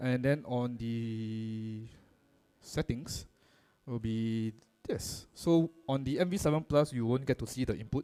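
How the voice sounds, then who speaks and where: Using an ordinary speaking voice, a man talks at a medium pitch that varies in ordinary ways. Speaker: microphone product presenter. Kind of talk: workshop demo.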